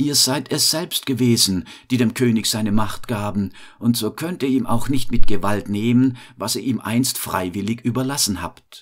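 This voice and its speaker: A plain, everyday voice from a man, medium in pitch, with ordinary pitch variation. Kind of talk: bedtime story telling. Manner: slow, calm, soothing storyteller pace; gentle, warm, fairy-tale narration.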